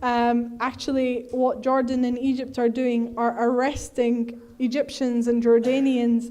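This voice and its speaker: Her high pitch held in a monotone, flat intonation, a woman speaks at a fairly slow pace with hardly any pauses and a dark, mellow tone. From Egyptian heritage. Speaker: activist speaker. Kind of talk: Q&A answer at a talk. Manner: hesitant with many fillers.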